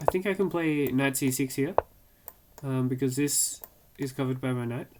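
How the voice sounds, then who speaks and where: Someone speaks with an Australian accent at a moderate pace. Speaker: chess streamer. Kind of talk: live gameplay commentary.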